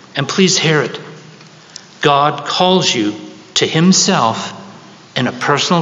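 Amid noticeable background noise, a man speaks at a fairly slow pace with fairly high pitch. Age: 70s. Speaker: preacher. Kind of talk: sermon. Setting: church.

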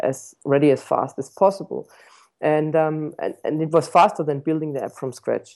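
His pitch sits fairly high. This man talks at a moderate pace. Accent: German. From Germany, Stuttgart. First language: German. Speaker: tech startup founder and CEO. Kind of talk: interview.

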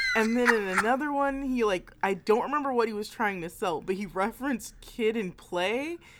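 A woman talks at a moderate pace with hardly any pauses, using a fairly high pitch and ordinary pitch variation. Noticeable background noise is present. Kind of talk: casual chat, playful banter recalling a game night. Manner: giggly, excitable, eagerly interrupting.

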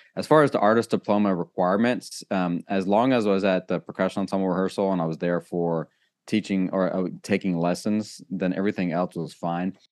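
With an American accent, a man speaks at a fairly quick pace with hardly any pauses, his very deep, low pitch showing ordinary variation against a quiet background. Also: dry, close sound with no echo. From Germany and Texas. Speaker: percussion professor. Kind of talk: interview conversation. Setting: video call. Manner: halting, many fillers.

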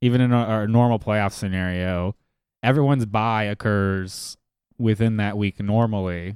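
Recorded very cleanly against a silent background with a dry, close sound and no echo, a man speaks at a moderate pace in a fairly low voice. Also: fairly even intonation. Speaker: fantasy football podcast host. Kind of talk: casual chat. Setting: studio.

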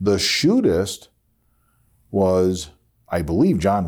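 Here is a man with a very deep, low pitch and vocal fry. He speaks with lively intonation in an American accent. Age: 50s. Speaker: podcast host. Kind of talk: solo podcast monologue.

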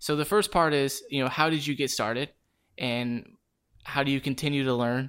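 A man talks with fairly even intonation. The recording is very clean with a silent background. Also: fairly high pitch for a man, moderate pace. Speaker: co-host, scenic automation technician. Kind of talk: casual technical podcast chat.

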